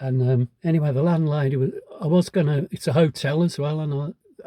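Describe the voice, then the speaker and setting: A man speaks in a fairly high pitch with ordinary pitch variation, his dark, mellow tone somewhat breathy and the sound dry and close with no echo. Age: 70s. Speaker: hiking vlogger. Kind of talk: casual vlog monologue. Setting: in a pub. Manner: halting.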